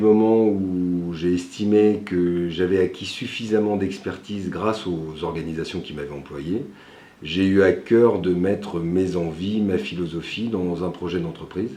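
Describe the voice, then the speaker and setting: In a dark, mellow tone, a man with a very deep, low voice speaks at a fairly slow pace with ordinary pitch variation and audible room echo. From France, Lyon area (Villeurbanne). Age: 40s. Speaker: entrepreneur, company founder. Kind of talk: interview portrait. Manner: frequent hesitations (euh).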